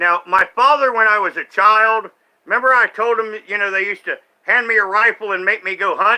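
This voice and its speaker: Raised and projected, a man's high voice comes across with an animated, bright, sharp tone. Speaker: streamer reacting to online content. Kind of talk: live stream commentary, casual rant.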